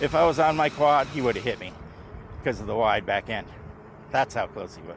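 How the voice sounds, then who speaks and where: A man's fairly high voice at a fairly quick pace, with lively intonation. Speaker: vlogger riding a trike. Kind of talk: casual vlog monologue. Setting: outdoors, riding a trike. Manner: loud.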